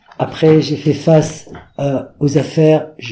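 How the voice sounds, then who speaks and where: The voice belongs to a man with a dark, mellow tone. It is somewhat breathy. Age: 70s. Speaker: fashion designer. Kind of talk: interview. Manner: animated.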